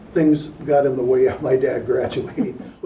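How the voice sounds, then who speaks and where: A man speaks in an American accent at a fairly slow pace. Audible room echo surrounds his voice. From Minnesota, US Midwest. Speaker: school alumnus. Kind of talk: interview, reminiscing.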